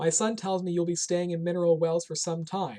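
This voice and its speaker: Putting on a character voice, a man speaks with a high, resonant pitch. He moves at a fairly quick pace with fairly even intonation. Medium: read story. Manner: kind, warm.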